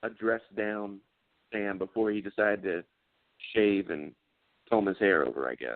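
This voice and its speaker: With an American accent, a man speaks at a moderate pace in a fairly low voice, with ordinary pitch variation and long, frequent pauses. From South Carolina, near Charlotte. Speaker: actor. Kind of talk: casual interview chat.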